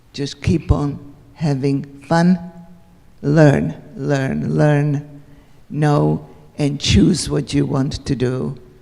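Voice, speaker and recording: In a Central European accent, a woman talks at a very slow pace. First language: Hungarian. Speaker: Holocaust survivor speaker. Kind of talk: Q&A after talk.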